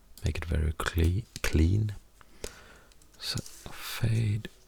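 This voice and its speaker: A man speaks with a Swedish accent. His voice has vocal fry. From Sweden. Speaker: musician and audio editing tutor. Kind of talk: tutorial. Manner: halting.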